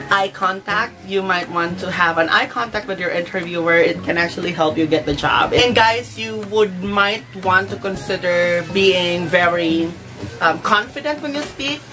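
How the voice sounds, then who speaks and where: Lively intonation and a moderate pace come through over music in the background. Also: woman, fairly low pitch for a woman. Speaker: vlogger giving job interview tips. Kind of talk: tutorial.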